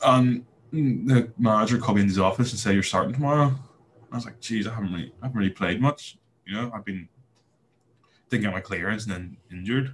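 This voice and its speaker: Speaking at a very fast pace yet with long, frequent pauses, a man has a somewhat breathy voice at medium pitch. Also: ordinary pitch variation. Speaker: former footballer and computer builder. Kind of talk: casual interview chat.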